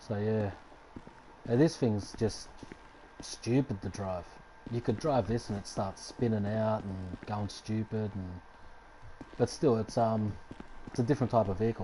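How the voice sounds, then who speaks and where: A man with an Australian accent and a fairly low pitch speaks in a relaxed tone at a fairly slow pace, with ordinary pitch variation and long, frequent pauses. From Australia, Sydney. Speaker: gaming streamer. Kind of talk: live stream gameplay commentary. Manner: casual, relaxed.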